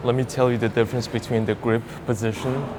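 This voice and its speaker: A man with a non-native accent, medium pitch and monotone, flat intonation at a moderate pace, over noticeable background noise. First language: not English. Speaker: fitness youtuber. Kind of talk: workout tutorial. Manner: casual, conversational.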